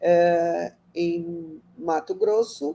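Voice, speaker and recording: A woman's dark, mellow tone with a Brazilian Portuguese accent. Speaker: architect and urban planner. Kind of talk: lecture. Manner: halting.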